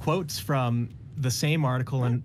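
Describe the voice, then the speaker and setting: A somewhat breathy man at a fairly slow pace, with ordinary pitch variation and light background noise. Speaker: caller. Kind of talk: conversational storytelling.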